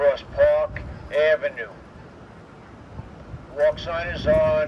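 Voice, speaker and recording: Noticeable background noise sits behind the recording. A man with an American accent speaks at a very slow pace. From New York City. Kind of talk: pre-recorded public announcement. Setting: outdoor street speaker.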